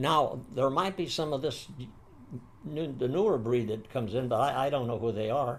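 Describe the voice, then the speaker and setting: A man speaks with an American accent, somewhat breathy. The room echo is audible. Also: medium pitch for a man, ordinary pitch variation, moderate pace. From San Francisco, US. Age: 80s+. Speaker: war veteran. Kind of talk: interview. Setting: seated interview. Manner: halting.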